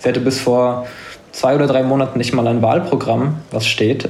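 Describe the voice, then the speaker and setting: Through noticeable background noise and audible room echo, a man at a medium pitch talks at a moderate pace with monotone, flat intonation. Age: 20s. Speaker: linguistics student and political content creator. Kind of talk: casual podcast interview.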